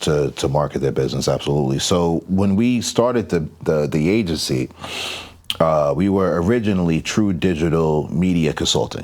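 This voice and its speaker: A man's very deep, low voice with an American accent, moderate pace and ordinary pitch variation, amid noticeable background noise. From New York, Long Island. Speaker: digital marketing agency owner. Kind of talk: podcast interview.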